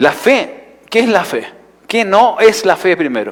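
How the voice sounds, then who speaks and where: A man talks at a fairly slow pace. He speaks with a Chilean accent. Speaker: pastor. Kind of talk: sermon. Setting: church.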